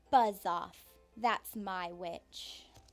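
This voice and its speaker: In a put-on character voice, a woman sounds shrill, croaky and growling. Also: medium pitch for a woman. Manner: threatening, gruff.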